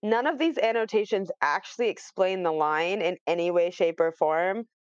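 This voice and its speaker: In an unremarkable speaking voice, a woman at medium pitch talks at a fairly quick pace, with a dry, close sound and no echo. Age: 20s. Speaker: podcast guest and fellow podcaster. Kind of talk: casual chat.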